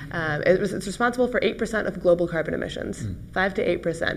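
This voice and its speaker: A woman talks with an American accent. Her pace is fairly quick. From United States. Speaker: company CEO; guest. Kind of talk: panel discussion. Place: studio. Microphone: lapel.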